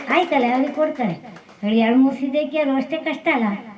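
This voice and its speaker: Noticeable background noise sits under speech whose pitch varies in an ordinary way. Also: woman. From coastal Karnataka, Udupi district. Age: old. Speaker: farmer. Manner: halting.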